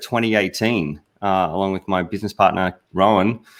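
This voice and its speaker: A man speaks with a strong Australian accent. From Australia, Sunshine Coast. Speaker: business consultant. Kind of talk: livestream panel discussion. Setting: video call. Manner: hesitant, many fillers.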